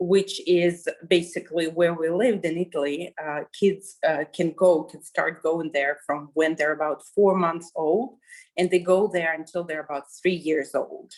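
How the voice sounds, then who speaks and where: Speaking at a fairly slow pace with a Russian accent, a woman uses a fairly low pitch and fairly even intonation, with hardly any pauses. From Kazakhstan. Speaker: journalist, interviewee. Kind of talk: interview. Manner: halting, many fillers.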